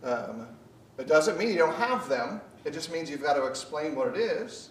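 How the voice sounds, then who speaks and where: Audible room echo surrounds a man with an American accent. He speaks at a fairly slow pace. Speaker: preacher. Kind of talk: sermon. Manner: loud.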